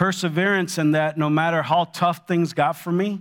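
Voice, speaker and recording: A man with an ordinary speaking voice and an American accent talks at a moderate pace. His intonation is fairly even, on a very clean recording with a silent background. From Los Angeles, California. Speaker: retail executive sharing his story at church. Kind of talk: testimony. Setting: church.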